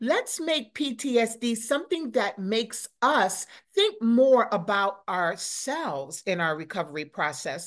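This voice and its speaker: A woman speaks at a fairly slow pace with vocal fry, her fairly high voice animated and swinging very widely in pitch against a quiet background. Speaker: motivational speaker. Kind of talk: interview.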